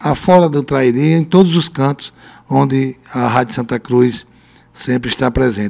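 A man of medium pitch speaks with ordinary pitch variation. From Brazil, Rio Grande do Norte interior (Lajes Pintadas); Rio Grande do Norte, Brazil. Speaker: mayor; interviewee. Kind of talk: radio interview. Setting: radio studio. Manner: halting. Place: studio. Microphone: handheld.

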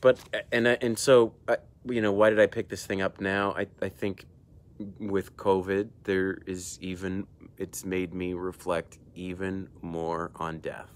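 A man speaks at a fairly slow pace with a very deep, low pitch. His intonation stays fairly even, and the sound is dry with no echo. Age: 40s. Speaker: emergency room doctor and video host. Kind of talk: solo book review monologue. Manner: casual, hesitant with frequent fillers. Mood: thoughtful, calm. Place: garden. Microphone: earbuds.

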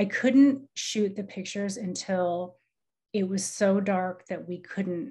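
A woman with an American accent speaks at a fairly slow pace in a somewhat breathy voice with a dark, mellow tone. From US Midwest, Iowa. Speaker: artist. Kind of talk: artist talk. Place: home room. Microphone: video call.

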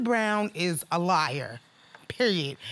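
A woman with a New York accent speaks in a bright, sharp tone. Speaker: litigant in a TV court case. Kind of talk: courtroom testimony. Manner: animated. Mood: aggrieved, animated. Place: studio. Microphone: lapel.

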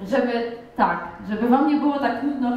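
Audible room echo carries a voice with monotone, flat intonation. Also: woman. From rural Poland. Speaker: wrestler; guest. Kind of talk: talk to schoolchildren. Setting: school hall. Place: classroom.

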